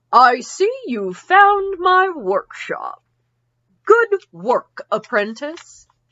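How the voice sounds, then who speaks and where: A woman puts on a character voice at an extremely high pitch with very wide pitch swings. She speaks at a very slow pace. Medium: read story.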